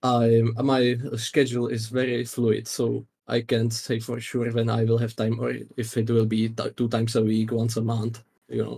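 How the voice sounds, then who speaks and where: A man with a non-native accent speaks at medium pitch and a moderate pace, his intonation monotone and flat. His voice is somewhat breathy, with a dark, mellow tone. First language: not English. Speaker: game master. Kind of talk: casual chat. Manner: halting, many fillers.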